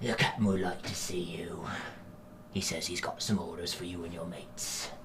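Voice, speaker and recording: A man's put-on character voice, very deep and low in pitch, against clear background noise. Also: moderate pace. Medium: actual play.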